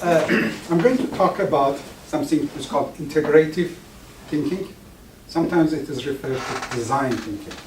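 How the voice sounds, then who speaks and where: Audible room echo and noticeable background noise surround a man whose voice is fairly high in pitch. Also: fairly quick pace. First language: Farsi. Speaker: professor. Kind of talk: lecture. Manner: halting, with many restarts.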